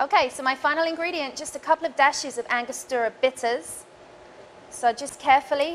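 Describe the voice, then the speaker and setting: In an English accent, a high-pitched woman talks at a fairly quick pace with ordinary pitch variation and big swings in loudness. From England, London. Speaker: bartender. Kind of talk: tutorial. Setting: bar.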